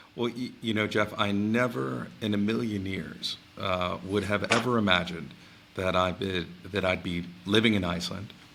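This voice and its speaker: A man with an American accent talks at a moderate pace, his fairly low voice showing vocal fry. His tone is bright and sharp. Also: ordinary pitch variation. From US Northeast, New York City area. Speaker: space agency head. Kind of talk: interview. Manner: halting, many fillers.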